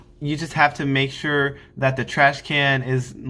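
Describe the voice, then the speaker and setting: Loud and fairly high-pitched, a man's voice carries a bright, sharp tone. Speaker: Air Force basic training graduate vlogger. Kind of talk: casual advice vlog. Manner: hesitant, filler-heavy.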